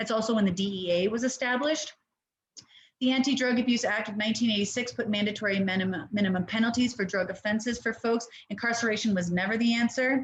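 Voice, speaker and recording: A woman talks at a very fast pace. Her fairly high voice is somewhat breathy. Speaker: harm reduction nonprofit director. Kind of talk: webinar presentation. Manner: animated.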